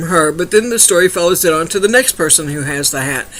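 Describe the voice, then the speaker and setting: Moderate pace over noticeable background noise. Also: man. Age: 60s. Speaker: book reviewer. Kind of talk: book review monologue. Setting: home webcam recording at night. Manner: casual, hesitant with fillers.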